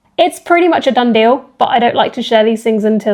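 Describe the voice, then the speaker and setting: A woman speaks with a British accent. Her pitch sits fairly high. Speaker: fitness coach and vlogger. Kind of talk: casual vlog. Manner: chatty, filler-heavy.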